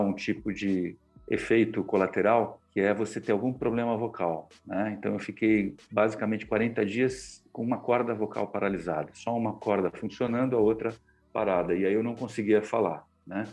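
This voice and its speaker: A man's fairly low voice moves at a moderate tempo with fairly even intonation, the background quiet. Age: 50s. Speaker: communication mentor and journalist. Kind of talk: interview. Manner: hesitant, many filler words.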